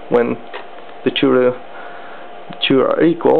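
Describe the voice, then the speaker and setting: The speaker has a non-native accent and talks at a fairly slow pace. Noticeable background noise sits behind the voice. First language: not English. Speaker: electronics hobbyist. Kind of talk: tutorial. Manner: halting.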